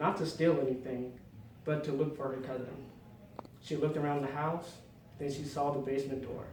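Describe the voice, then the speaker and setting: The speaker uses monotone, flat intonation with long, frequent pauses over noticeable background noise. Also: man. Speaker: inspirational speaker. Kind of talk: speech.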